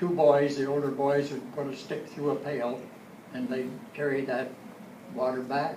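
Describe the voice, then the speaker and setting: Through noticeable background noise and audible room echo, a man speaks at a moderate pace with long, frequent pauses. His fairly high voice stays monotone and flat. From Ontario, Canada. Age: 80s+. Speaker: local elder. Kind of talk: talk to audience. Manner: halting.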